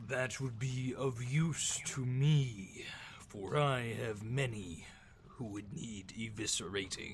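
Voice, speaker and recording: A booming, put-on character voice from a man, medium in pitch and very slow, over clear background noise. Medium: actual play. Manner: grand, slow, formal.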